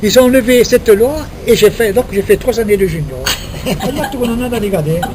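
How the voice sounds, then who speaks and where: Over noticeable background noise, a man speaks at a fairly quick pace. His pitch is high, with ordinary variation. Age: 70s. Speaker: retired footballer. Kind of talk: casual chat. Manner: animated.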